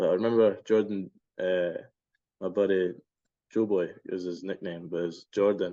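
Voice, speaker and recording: A man's fairly low, dark, mellow voice with fairly even intonation over a quiet background. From Scotland. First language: Spanish. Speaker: baseball player. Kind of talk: interview. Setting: podcast.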